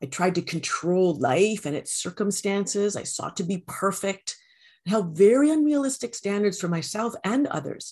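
A somewhat breathy woman with a Canadian accent, medium pitch and very wide pitch swings, at a moderate pace against a quiet background. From Canada. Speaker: empowerment coach. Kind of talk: interview.

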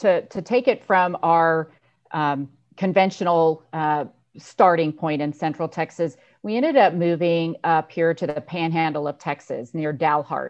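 A woman's fairly low voice with an American accent, a normal speaking voice, ordinary pitch variation and a fairly slow pace. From Northern California, Lake County. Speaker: dairy company executive. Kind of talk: interview. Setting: video call.

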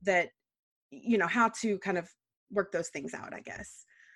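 In an American accent, a woman speaks at a moderate pace in an ordinary speaking voice, with medium pitch, ordinary pitch variation, a dry, close sound with no echo, and a very clean recording with a silent background. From Texas. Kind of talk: casual chat.

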